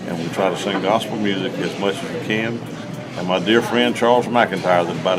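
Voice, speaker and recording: Against music in the background and audible room echo, a man with a Southern US accent speaks at a fairly quick pace, his fairly low pitch showing ordinary variation. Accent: Southern US (Georgia). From Georgia, US South. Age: 60s. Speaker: gospel singer. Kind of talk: casual chat. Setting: round table discussion.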